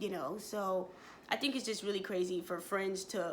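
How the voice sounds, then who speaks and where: A woman speaks with an animated tone. Her pace is moderate. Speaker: vlogger, mail carrier. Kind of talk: casual vlog monologue, story time.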